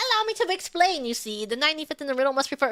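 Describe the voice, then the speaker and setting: Someone rattles off lines very fast in a high-pitched, put-on character voice. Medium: virtual streamer. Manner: eager, lecturing.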